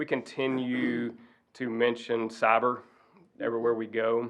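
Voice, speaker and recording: In a Southern US accent, a man talks with monotone, flat intonation. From Arkansas. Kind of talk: presentation.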